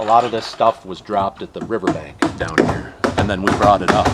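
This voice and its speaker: There is noticeable background noise as a man talks at a fairly quick pace with fairly even intonation. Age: 50s. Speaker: volunteer crew leader. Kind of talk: interview. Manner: halting, many fillers.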